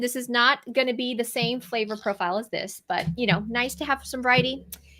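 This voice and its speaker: The voice is bright and sharp in tone and moves at a fairly quick pace. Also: woman. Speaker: registered dietitian. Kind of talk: product show-and-tell. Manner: fast; casual, many fillers.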